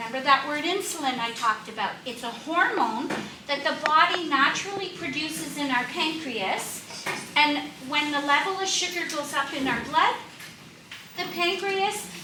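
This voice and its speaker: A woman uses a raised, projected voice with a high pitch and lively intonation at a moderate pace. Audible room echo and noticeable background noise surround her. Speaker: diabetes educator. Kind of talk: health seminar talk.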